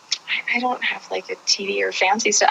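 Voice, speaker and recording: A woman talks fairly slowly while clearly audible noise fills the background. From Kentucky. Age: 40s. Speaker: interviewee, skateboarder and street outreach volunteer. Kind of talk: casual chat. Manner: animated, halting with many fillers. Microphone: on her phone.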